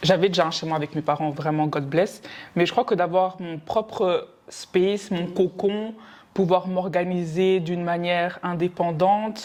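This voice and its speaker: On a very clean recording with a silent background, a woman with an unremarkable speaking voice talks at a fairly slow pace, her pitch fairly low and her intonation fairly even. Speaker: podcast co-host. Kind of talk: casual chat.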